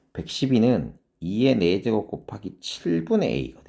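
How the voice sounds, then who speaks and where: Vocal fry runs through a dark, mellow tone that moves in very wide pitch swings. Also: man. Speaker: math academy director and teacher. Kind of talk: lecture. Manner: fast.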